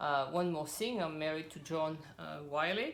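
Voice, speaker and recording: A woman's very deep, low voice in a French accent, at a fairly slow pace. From French; raised in Cameroon and South Pacific. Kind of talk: casual religious talk. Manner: relaxed.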